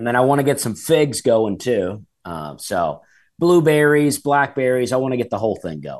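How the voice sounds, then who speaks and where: A man with an Alabama accent speaks at a moderate pace and medium pitch, his intonation lively and the background quiet. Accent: Southern US (Alabama). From Alabama, US South. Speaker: stand-up comedian. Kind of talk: casual chat.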